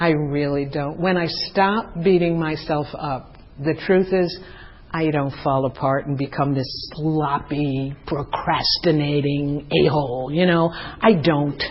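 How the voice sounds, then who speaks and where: A woman with a very deep, low voice talks very slowly and with fairly even intonation. Background noise is noticeable. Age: 70s. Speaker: 12-step meeting speaker. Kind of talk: testimony.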